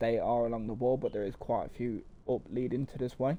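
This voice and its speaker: A man speaks in an East Midlands accent. His tone is dark and mellow. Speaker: gaming YouTuber. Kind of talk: casual game walkthrough commentary. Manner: hesitant, many fillers.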